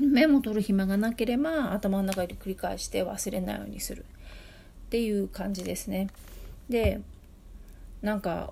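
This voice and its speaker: With a dark, mellow tone, a woman speaks somewhat breathily. Her pitch varies in an ordinary way, broken by long, frequent pauses. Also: medium pitch for a woman, moderate pace. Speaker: podcast host, tutor and translator. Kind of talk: casual solo talk answering listener mail. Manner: halting, many fillers.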